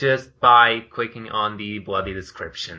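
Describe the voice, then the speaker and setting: Against a quiet background, a man speaks with a Portuguese accent in a bright, sharp tone. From Portugal. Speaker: podcast co-host, video creator. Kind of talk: casual chat.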